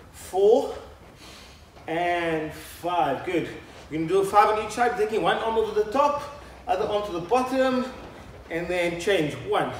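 Amid audible room echo and light background noise, a man with a high pitch talks at a fairly slow pace, with long, frequent pauses and ordinary pitch variation. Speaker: fitness instructor. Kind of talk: workout instruction. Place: studio.

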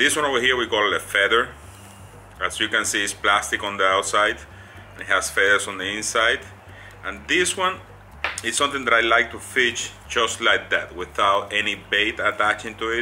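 Over music in the background, a man talks at a moderate pace with lively intonation and long, frequent pauses. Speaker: fishing how-to host. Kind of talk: tutorial. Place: home room. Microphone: phone near.

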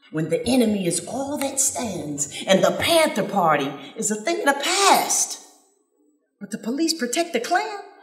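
A woman with an American accent speaks with very wide pitch swings. The background is quiet, though room echo is audible. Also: long, frequent pauses. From Flint, Michigan. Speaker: spoken word artist. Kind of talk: spoken word poetry performance. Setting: live stage, outdoors festival. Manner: rhythmic. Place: stage. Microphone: handheld.

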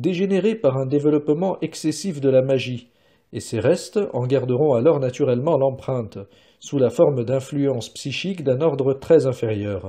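In a quiet background, a man with a medium-pitched, somewhat breathy voice talks with lively intonation. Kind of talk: audiobook reading of a philosophical text. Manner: formal, measured, even delivery; slow, deliberate, stating punctuation aloud.

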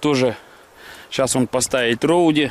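The sound is dry with no echo as a man talks at a fairly slow pace with fairly even intonation. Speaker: fishing vlogger. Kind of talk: casual vlog chat. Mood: cheerful, relaxed. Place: waterside. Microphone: phone near.

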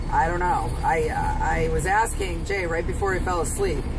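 Loud background noise accompanies a woman speaking at a fairly slow pace. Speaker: truck driver vlogger. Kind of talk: casual vlog chat. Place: car. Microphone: phone near.

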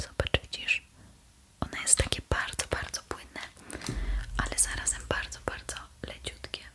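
A woman whispers at a moderate pace. She leaves long, frequent pauses. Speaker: ASMR creator playing beautician. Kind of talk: ASMR skincare roleplay, talking to the viewer. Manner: soft, friendly, conversational. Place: home room. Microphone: studio mic.

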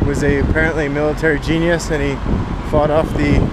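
A man talks at a moderate pace against loud background noise, and the sound is dry without any echo. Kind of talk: casual travel vlog commentary. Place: street. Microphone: phone near.

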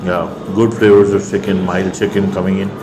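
With music in the background, a man speaks at a fairly slow pace and with ordinary pitch variation. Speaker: food vlogger. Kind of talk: food review commentary. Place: cafe. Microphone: lapel.

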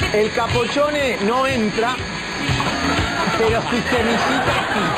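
A man speaks at a fairly slow pace. Loud music plays in the background. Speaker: chef demonstrating a recipe. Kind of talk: TV cooking demonstration, explaining steps. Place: studio. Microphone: lapel.

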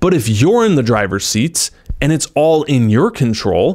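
A man's voice at a moderate pace with very wide pitch swings, over a quiet background. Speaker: self-help creator. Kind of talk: motivational talk to camera. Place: studio. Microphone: handheld.

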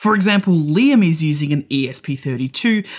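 A man speaks with lively intonation against a quiet background. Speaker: electronics educator. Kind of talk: tutorial. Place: studio.

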